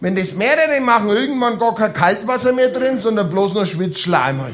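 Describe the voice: A man is talking here. His tone is fairly bright, and his pitch varies in an ordinary way.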